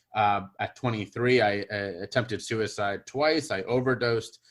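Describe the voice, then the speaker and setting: A man with a Midwestern accent, medium pitch, and a moderate pace. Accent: General American (Midwest). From US Midwest, Cincinnati, Ohio. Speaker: public speaker and podcast host. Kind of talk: interview guest testimony.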